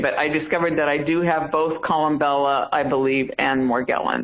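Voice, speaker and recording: With an American accent, a woman is speaking. Her voice sits at a very deep, low pitch. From US South, South Carolina. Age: 60s. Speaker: caller. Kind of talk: testimony. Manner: halting.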